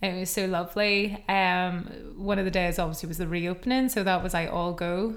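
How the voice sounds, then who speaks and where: A woman speaks in a Northern Irish accent at a medium pitch. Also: fairly even intonation, moderate pace. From Northern Ireland. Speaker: podcast co-host. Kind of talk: casual chat.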